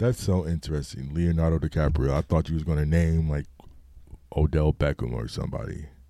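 A man speaks fairly quickly in a very deep, low voice with a dark, mellow tone. His pitch varies in an ordinary way. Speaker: podcast host. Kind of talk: casual chat.

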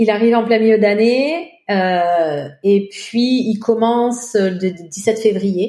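Very slowly, a woman speaks in a fairly high voice with a dark, mellow tone and ordinary pitch variation. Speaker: French immigrant in Quebec. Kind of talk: interview testimony.

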